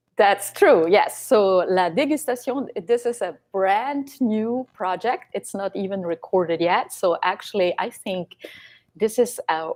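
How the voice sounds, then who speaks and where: A woman speaks at a medium pitch with a Swiss German accent. Her intonation is lively and her pace fairly slow. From Switzerland, German-speaking Valais. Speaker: singer-songwriter. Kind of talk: interview. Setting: live stream concert.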